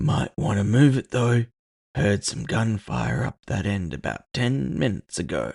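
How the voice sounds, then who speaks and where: A soft-spoken, raspy put-on character voice from a man, fairly low in pitch, at a moderate pace, with very wide pitch swings. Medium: read story. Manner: calm, polite, unflustered.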